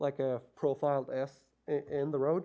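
With a non-native accent, a man with a fairly high voice speaks at a fairly slow pace in a flat monotone. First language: not English. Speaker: resident addressing town council. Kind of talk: public presentation. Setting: council chamber. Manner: hesitant, many fillers.

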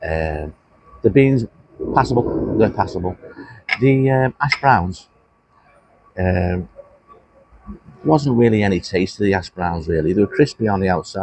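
Lively intonation and long, frequent pauses mark this moderate-paced voice, heard with light background noise and a dry sound with no echo. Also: man. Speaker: food reviewer. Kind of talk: casual food review chat. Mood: mildly disappointed. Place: cafe. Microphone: phone near.

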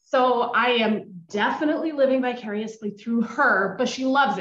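Somewhat breathy and fairly high in pitch, a woman with an American accent speaks at a moderate pace with lively intonation, amid audible room echo. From US Pacific Northwest, Seattle. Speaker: audience member. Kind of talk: casual chat. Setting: video call. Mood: warm, friendly. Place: home room. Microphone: video call.

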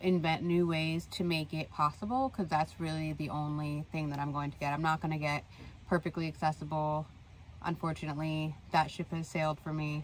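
Over light background noise, a woman with a very deep, low pitch talks at a fairly quick pace with fairly even intonation, in a dry sound with no echo. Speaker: van-life vlogger. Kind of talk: casual vlog chat. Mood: earnest, slightly frustrated. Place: home room. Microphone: phone near.

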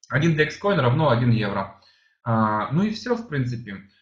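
A somewhat breathy man at a moderate pace. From Germany (moved from Uzbekistan at age 7). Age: 30s. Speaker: sales presenter. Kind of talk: sales pitch. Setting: online presentation. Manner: halting, many fillers.

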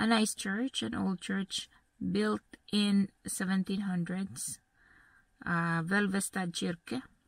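A somewhat breathy woman at a very slow pace, dry sound with no echo, against a quiet background. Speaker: travel vlogger. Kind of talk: casual vlog chat. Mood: relaxed, cheerful. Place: car. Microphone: phone near.

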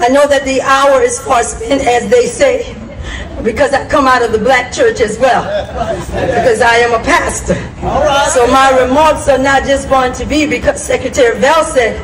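A woman's high-pitched voice over noticeable background noise. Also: ordinary pitch variation, moderate pace. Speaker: pastor. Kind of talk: public speech. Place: street.

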